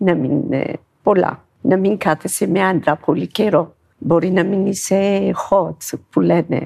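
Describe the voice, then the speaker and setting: The speaker talks at a very slow pace, with vocal fry and a dark, mellow tone. Loudness stays very even while pitch varies in an ordinary way. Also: woman. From Ethiopia. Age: 50s. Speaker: dancer and shop worker. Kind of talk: interview. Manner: halting.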